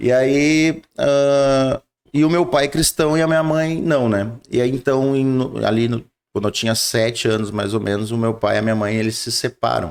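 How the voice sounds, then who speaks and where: Moderately paced male speech, medium in pitch, with ordinary pitch variation. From southern Brazil, Rio Grande do Sul (São Leopoldo). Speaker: pastor. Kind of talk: interview testimony. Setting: studio. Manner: halting.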